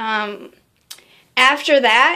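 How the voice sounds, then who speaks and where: A woman talks very slowly at a fairly high pitch, her tone bright and sharp. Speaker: vlogger. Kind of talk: casual vlog update. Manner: halting, many fillers.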